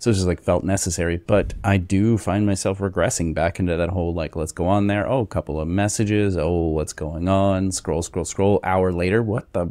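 The voice has a dark, mellow tone and fairly even intonation, with hardly any pauses. The sound is dry with no echo over a quiet background. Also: man, very deep, low pitch for a man, moderate pace. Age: 40s. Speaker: podcast co-host. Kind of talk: casual chat. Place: home room. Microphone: studio mic.

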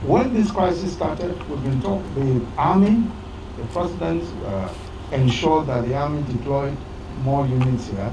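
Noticeable background noise runs under the recording. A man speaks over it at a moderate pace. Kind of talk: public address to community leaders. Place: open country. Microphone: handheld.

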